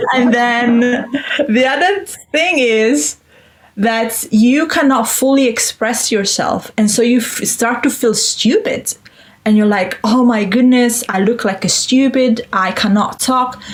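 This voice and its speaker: Speaking at a fairly slow pace, a woman has a high pitch and ordinary pitch variation. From Italy. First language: Italian. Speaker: Italian teacher. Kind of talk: interview.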